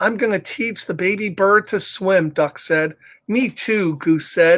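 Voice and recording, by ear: This is reading aloud in a natural voice. Pitch varies in an ordinary way.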